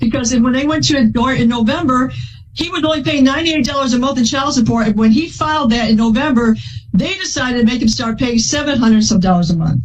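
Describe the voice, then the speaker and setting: A woman speaks loudly and at a very fast pace in a high voice with lively intonation, with noticeable background noise and audible room echo. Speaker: plaintiff in a court case. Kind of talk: courtroom testimony. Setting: courtroom.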